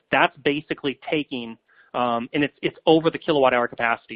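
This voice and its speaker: A man at medium pitch, at a very fast pace. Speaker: software company presenter. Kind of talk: webinar product demo. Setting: online webinar. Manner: casual with many filler words.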